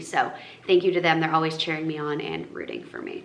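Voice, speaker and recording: Woman's fairly low voice amid noticeable background noise and audible room echo. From northern Massachusetts. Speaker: lifestyle influencer. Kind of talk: casual Q&A vlog. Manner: casual, filler-heavy.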